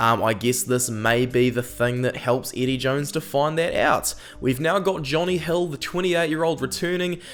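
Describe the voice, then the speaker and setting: With a New Zealand accent and a fairly high pitch, a man talks at a moderate pace with hardly any pauses and ordinary pitch variation over noticeable background noise. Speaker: rugby YouTuber and analyst. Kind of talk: casual commentary video. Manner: hesitant, many ums.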